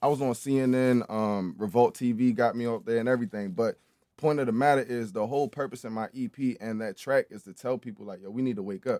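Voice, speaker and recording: Talking very fast in an American accent, a man with a dark, mellow tone makes big swings in loudness. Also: medium pitch for a man, ordinary pitch variation, dry, close sound with no echo. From Baltimore, Maryland. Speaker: podcast guest. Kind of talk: casual chat.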